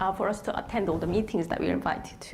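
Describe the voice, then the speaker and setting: A woman with a Korean accent, amid noticeable background noise and audible room echo. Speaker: lecturer. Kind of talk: panel presentation. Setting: stage with audience. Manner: halting.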